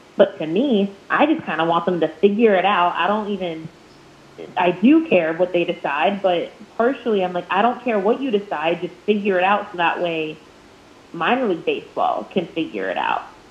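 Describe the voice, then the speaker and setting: A woman's medium-pitched voice at a moderate pace, lively in intonation, over noticeable background noise. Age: 20s. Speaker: minor league baseball play-by-play broadcaster. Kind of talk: casual interview.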